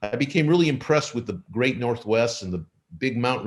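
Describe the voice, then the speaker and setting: Fairly quick speech from a man at medium pitch. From Los Angeles, US (born in Argentina). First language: Spanish. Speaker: physician and author. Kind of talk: podcast interview. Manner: halting with many fillers.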